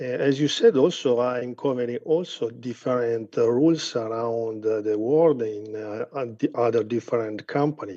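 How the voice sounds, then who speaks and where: Medium in pitch with ordinary pitch variation, a man's dark, mellow voice moves at a moderate pace with hardly any pauses. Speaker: university professor. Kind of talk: formal address at online event. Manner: halting.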